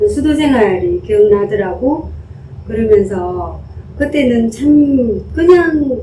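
A woman's high-pitched voice in a Gyeongsang accent, very slow pace, very wide pitch swings, noticeable background noise behind her. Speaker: poet. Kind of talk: casual conversation.

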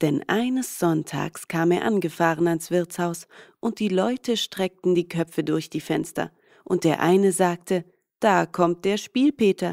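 In a very clean recording with a silent background and a dry, close sound with no echo, a woman with an ordinary speaking voice talks at a fairly slow pace, her fairly low pitch showing ordinary variation. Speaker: fairy tale reader.

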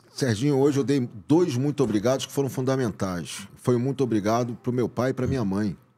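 A man delivers his words very quickly in a dark, mellow tone. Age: 50s. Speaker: actor and director; podcast guest. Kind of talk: casual chat. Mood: grateful, warm. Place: studio. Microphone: studio mic.

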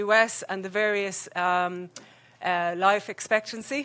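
The woman's voice has a bright, sharp tone and fairly even intonation. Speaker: health economist, researcher; presenter. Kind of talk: conference presentation. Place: hall.

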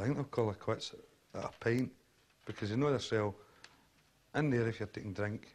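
This is a man speaking. He has a west of Scotland accent. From Scotland, Kirkintilloch. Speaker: foundry worker. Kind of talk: documentary interview.

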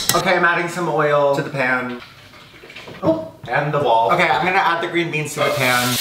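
A man talks at a fairly quick pace with ordinary pitch variation. The room echo is audible, and background noise is noticeable. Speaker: home cook vlogger. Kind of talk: casual vlog chat. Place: kitchen. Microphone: camera far.

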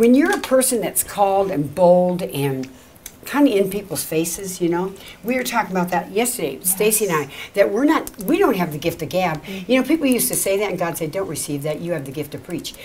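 Lively intonation marks this woman's speech at a very fast pace. Light background noise can be heard. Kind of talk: prayer and ministry talk show. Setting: studio. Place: home room.

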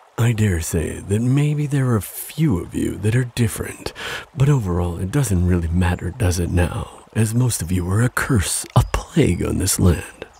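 A man's put-on character voice, low in pitch, with a dark, mellow tone, a husky, rough edge, vocal fry, lively intonation and a moderate pace.

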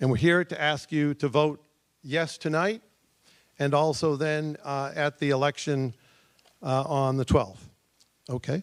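The speech moves at a fairly slow pace, with fairly even intonation and long, frequent pauses. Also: man, fairly high pitch for a man. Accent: New England. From Massachusetts, central. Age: 70s. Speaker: town resident presenting committee proposal. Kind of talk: public presentation at town meeting. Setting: stage at town meeting with audience.

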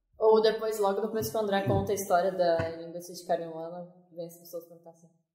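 At a very fast pace, a woman speaks in a fairly low pitch with ordinary pitch variation and big swings in loudness, with audible room echo around her. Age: 20s. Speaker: cinematographer, ghost-tour organizer. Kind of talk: interview.

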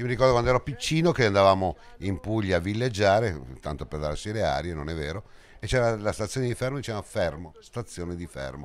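Very fast and animated, a man speaks with fairly low pitch and very wide pitch swings. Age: old. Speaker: cycling commentator. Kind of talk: live commentary; interview.

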